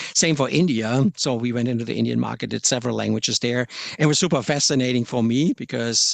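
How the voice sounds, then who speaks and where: A man with a German accent speaks at a very fast pace in a dry, close sound with no echo. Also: medium pitch for a man, ordinary pitch variation. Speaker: software localisation product manager. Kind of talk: podcast interview. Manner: hesitant, with frequent repetitions.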